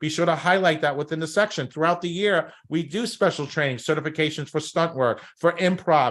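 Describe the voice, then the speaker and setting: A high-pitched man with a Brooklyn accent rattles along at a very fast pace with ordinary pitch variation. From New York, Brooklyn. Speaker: talent agency coach. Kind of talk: workshop presentation. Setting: live stream over Zoom. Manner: animated.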